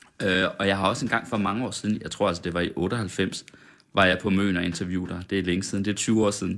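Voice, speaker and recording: At a very fast pace, a man talks in a fairly low voice with fairly even intonation. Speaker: radio host. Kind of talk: casual interview chat over champagne. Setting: studio.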